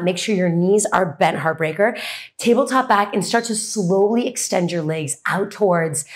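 A woman with lively intonation at a moderate pace, quiet background. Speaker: fitness instructor. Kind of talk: workout class cueing. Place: empty room.

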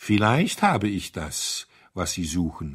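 A man's put-on character voice, low-pitched and fairly bright in tone with a slightly husky edge, at a slow pace on a very clean recording with a silent background.

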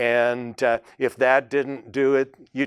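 A man's medium-pitched voice in a Minnesota accent against a quiet background. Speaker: Bible study teacher, preacher. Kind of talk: sermon, Bible teaching. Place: studio. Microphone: lapel.

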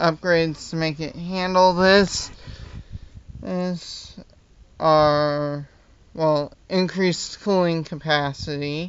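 Pitched high for a man, this speaker keeps fairly even intonation. He goes at a very slow pace with long, frequent pauses. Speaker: hobbyist model designer. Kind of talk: casual talk to camera. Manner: stuttering, hesitant. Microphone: phone near.

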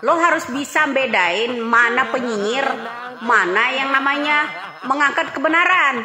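At a fairly slow pace, a woman with a North Sumatran accent uses a raised, projected voice and ordinary pitch variation over noticeable background noise. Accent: Batak-accented Indonesian. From Sumatra, Indonesia. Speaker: political commentator. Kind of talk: heated political rant. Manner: combative, blunt. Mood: defiant, scornful. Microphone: phone near.

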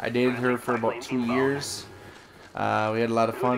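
A man speaks in a monotone, flat intonation with an American accent, over noticeable background noise and audible room echo. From Wisconsin, US Upper Midwest. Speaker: gaming YouTuber. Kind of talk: casual storytelling monologue. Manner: halting, many fillers.

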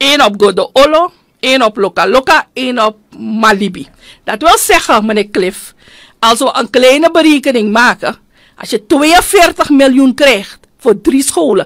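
Against a quiet background, a woman with a high pitch talks at a fairly slow pace, her pitch swinging very widely. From Suriname. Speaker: politician and union leader; politician. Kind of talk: radio interview. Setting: studio. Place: studio. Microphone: studio mic.

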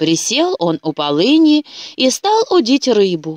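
A woman's fairly high, slightly mellow voice at a fairly slow pace, with big pitch swings and a dry, close sound with no echo.

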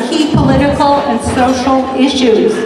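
A woman's high-pitched, monotone, flat delivery at a moderate pace, with audible room echo and noticeable background noise. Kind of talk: welcome speech. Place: hall.

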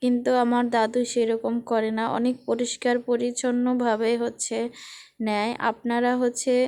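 A woman with a high pitch and a dark, mellow tone speaks in a monotone, flat way at very even loudness, on a very clean recording with a silent background. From Barisal, Bangladesh. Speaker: vlogger. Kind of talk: casual vlog narration.

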